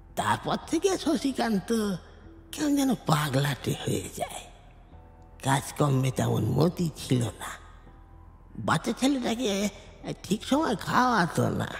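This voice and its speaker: A man puts on a character voice, pitched high and delivered at a fairly slow pace, with clear music playing behind him. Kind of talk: audio drama dialogue. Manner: halting, breathless.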